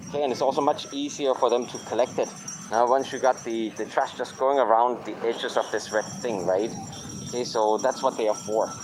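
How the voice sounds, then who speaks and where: Music plays in the background as the speaker moves at a fairly quick pace with ordinary pitch variation. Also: man, medium pitch for a man. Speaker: travel vlogger. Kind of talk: casual walking vlog commentary. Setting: outdoors.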